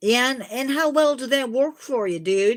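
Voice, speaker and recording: A put-on character voice with a fairly high pitch is delivered at a moderate pace. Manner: theatrical, villainous.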